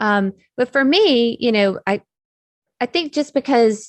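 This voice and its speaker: A woman speaks in an American accent. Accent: Southern US accent, comes out when excited. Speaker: technical curriculum developer. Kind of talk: interview conversation. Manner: speeds up when excited.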